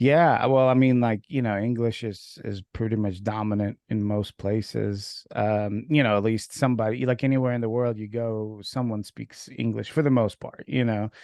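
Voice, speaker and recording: A man with a Russian accent speaks at a moderate pace in a fairly low pitch with fairly even intonation. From Ukraine. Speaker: podcast host. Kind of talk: casual interview chat. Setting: video call. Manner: hesitant, many fillers.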